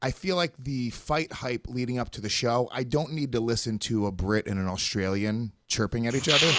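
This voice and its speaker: In a plain, everyday voice with an American accent, the speaker keeps a moderate pace with hardly any pauses and ordinary pitch variation. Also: man, medium pitch for a man. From USA. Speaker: podcast co-host. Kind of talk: casual chat.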